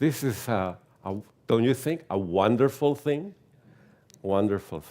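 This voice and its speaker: Speaking with a Venezuelan accent, a man uses a medium pitch, a dark, mellow tone and lively intonation. His pace is fairly slow, broken by long, frequent pauses. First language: Spanish. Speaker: theosophy lecturer. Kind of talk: lecture. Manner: halting, with frequent repetitions.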